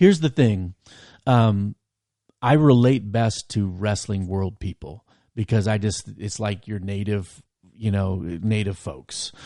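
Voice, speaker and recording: A dark, mellow tone at a fairly slow pace, with ordinary pitch variation and a quiet background. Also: man, fairly low pitch for a man. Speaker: podcast host and campus minister. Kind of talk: casual interview chat. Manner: loud; animated.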